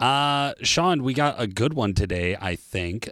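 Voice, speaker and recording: A man speaks in an ordinary speaking voice at a fairly slow pace with ordinary pitch variation. The recording is very clean with a silent background, and the sound is dry and close with no echo. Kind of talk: infomercial-style sponsor read, scripted product pitch. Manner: brisk, polished salesman delivery, upbeat and spec-heavy; urgent call-to-action close.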